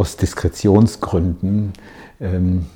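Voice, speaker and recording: Somewhat breathy and dark, mellow in tone, a man speaks at a fairly low pitch with ordinary pitch variation. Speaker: coach. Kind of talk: motivational video monologue.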